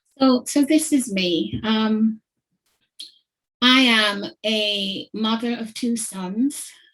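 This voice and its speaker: Somewhat breathy, this woman's voice sits at a fairly high pitch. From Jamaica. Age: 60s. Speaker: head teacher. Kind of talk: symposium talk.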